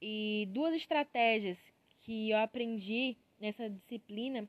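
Recorded dry and close with no echo, a woman speaks at a fairly high pitch with ordinary pitch variation. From Piauí, Brazil. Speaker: university student. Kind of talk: student podcast monologue. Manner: halting, many filler pauses.

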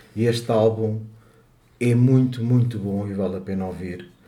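Audible room echo surrounds a man's medium-pitched voice, dark and mellow in tone and somewhat breathy. He talks at a moderate pace with fairly even intonation. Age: 60s. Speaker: podcast co-host. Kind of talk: casual chat.

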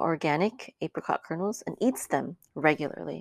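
In a very clean recording with a silent background and a dry, close sound with no echo, a woman with vocal fry speaks at a moderate pace in a very deep, low pitch with ordinary pitch variation. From Philippines. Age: 40s. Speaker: naturopathic herbalist and health coach teacher. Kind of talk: lecture. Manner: halting.

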